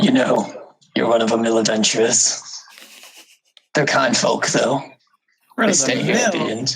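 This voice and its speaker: Putting on a raspy character voice at medium pitch, a man talks at a moderate pace with long, frequent pauses. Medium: actual play. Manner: plainspoken, folksy, clipped sentences.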